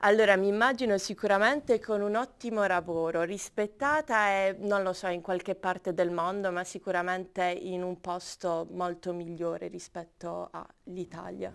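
In an ordinary speaking voice, a woman talks at a moderate pace and medium pitch with ordinary pitch variation and hardly any pauses. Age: 20s. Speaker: architecture student. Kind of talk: casual interview. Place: studio.

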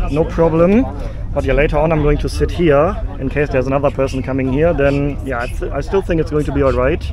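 Noticeable background noise surrounds a man talking at a fairly quick pace. The sound is dry, with no echo. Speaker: travel vlogger. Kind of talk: casual vlog chat. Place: train. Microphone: phone near.

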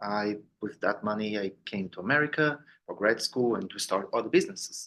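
A man with a Brazilian accent and fairly low pitch speaks at a moderate pace. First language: Portuguese. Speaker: business owner and board member. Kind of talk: self-introduction at members meeting. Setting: meeting room, recorded on Zoom. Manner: halting, many fillers.

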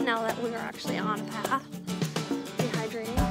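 Loud music plays in the background as a woman with an American accent speaks in a dry sound with no echo. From Minnesota, USA. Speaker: travel vlogger. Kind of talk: casual travel vlog talk to camera. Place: street. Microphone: phone near.

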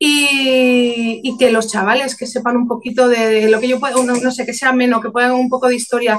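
Her high voice moves at a moderate pace with hardly any pauses and monotone, flat intonation, over light background noise. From León, Spain; Spain. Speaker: painter and author; interviewee. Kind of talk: interview. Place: home room. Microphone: webcam.

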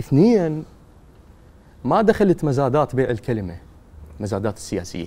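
Dark, mellow tone with vocal fry, very wide pitch swings, a fairly slow pace and long, frequent pauses. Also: man, medium pitch for a man. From Iraq, Najaf; Iraq. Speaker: poet. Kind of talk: interview. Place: studio. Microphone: lapel.

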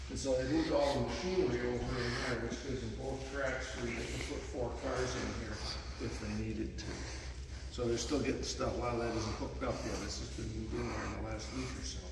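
Someone talks at a fairly quick pace amid audible room echo and loud background noise. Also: man. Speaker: railroad volunteer tour guide. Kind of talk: guided shop tour. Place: workshop. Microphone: camera far.

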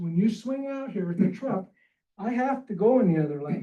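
With a high pitch, a man speaks in a dark, mellow tone. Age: 60s. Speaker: public commenter. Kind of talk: public comment at hearing. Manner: informal, conversational.

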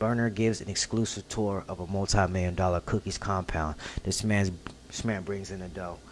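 A man talks at a fairly quick pace in a fairly low pitch, with a normal speaking voice. There is light background noise. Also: fairly even intonation. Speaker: reaction video creator. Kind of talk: casual vlog chat. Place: home room. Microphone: studio mic.

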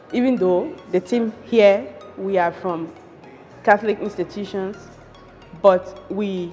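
A woman's voice with ordinary pitch variation and faint music in the background. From Liberia. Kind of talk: interview answer. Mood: grateful, earnest. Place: office. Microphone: lapel.

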